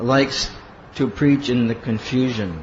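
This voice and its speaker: A man with an American accent speaks at a very slow pace in a medium pitch. The room echo is audible, and there is noticeable background noise. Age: 50s. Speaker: monk and spiritual teacher. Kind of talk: lecture.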